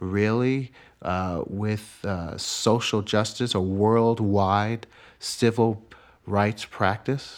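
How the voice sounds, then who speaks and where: On a very clean recording with a silent background, a man with an American accent speaks very slowly in a fairly low pitch with fairly even intonation. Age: 40s. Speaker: violinist and composer. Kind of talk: interview.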